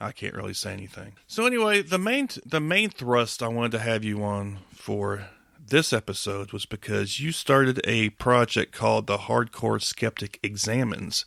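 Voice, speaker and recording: A man with a Southern accent talks at a moderate pace with hardly any pauses. The sound is dry and close with no echo. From US South. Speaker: podcast host. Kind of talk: casual interview chat.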